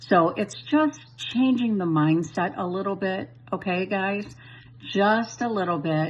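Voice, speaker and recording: A woman speaks at a fairly slow pace in a fairly low, somewhat breathy voice, her animated tone carried by very wide pitch swings. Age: 60s. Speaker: crypto investor giving a testimonial. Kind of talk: testimony.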